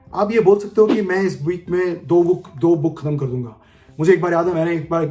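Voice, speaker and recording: A man speaks with a high pitch and ordinary pitch variation. Music plays in the background. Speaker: leadership coach. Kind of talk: casual tutorial talk in Hindi-English mix. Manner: fast.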